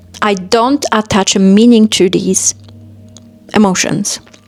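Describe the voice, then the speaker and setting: Over music in the background, a woman with a Polish accent speaks fairly slowly at a fairly high pitch. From Poland. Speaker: self-help vlogger. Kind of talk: motivational monologue.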